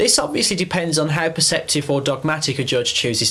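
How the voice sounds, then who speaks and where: A man with an English accent speaks at a fairly quick pace. His pitch is fairly high, and background noise is noticeable. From England. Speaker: dog trainer. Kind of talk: scripted narration.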